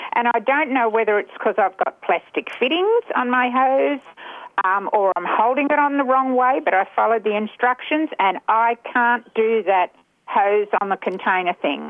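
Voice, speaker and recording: A woman speaks in an Australian accent. Her pitch is fairly high and her loudness very even. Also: lively intonation, moderate pace. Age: 70s. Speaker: caller. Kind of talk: radio talkback. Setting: phone call.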